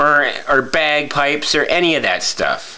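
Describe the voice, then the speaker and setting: A man is speaking. Noticeable background noise is audible behind him. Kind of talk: casual talk to camera. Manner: stammering, halting.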